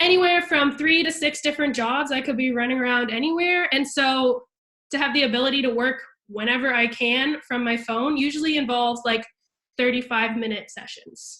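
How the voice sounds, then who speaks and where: A woman's high-pitched voice is raised and projected. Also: ordinary pitch variation, fairly quick pace. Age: 20s. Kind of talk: video call presentation. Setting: video call with screen share. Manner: casual, filler-heavy.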